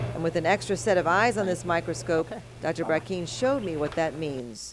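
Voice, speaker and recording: Fairly low-pitched woman's voice, fairly quick and with lively intonation, over noticeable background noise. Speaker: TV news anchor and health reporter. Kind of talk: TV health news report narration.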